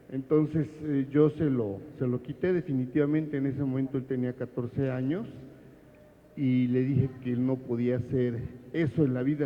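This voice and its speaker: A man speaks at a medium pitch with fairly even intonation. He has an unremarkable speaking voice. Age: 60s. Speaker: audience member asking a question. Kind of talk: audience question at book presentation.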